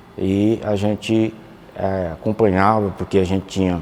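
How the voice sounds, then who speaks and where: A man talks at a fairly low pitch with noticeable background noise around him. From Campo Maior, Piauí, Brazil. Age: 60s. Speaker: former student. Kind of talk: documentary interview testimony.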